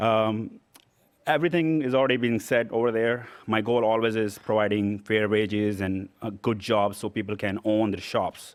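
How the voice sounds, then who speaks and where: The speech moves at a medium pace. Its intonation is fairly even. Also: man, fairly low pitch for a man. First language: not English. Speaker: small business owner, award recipient. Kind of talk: acceptance speech. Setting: stage at awards event.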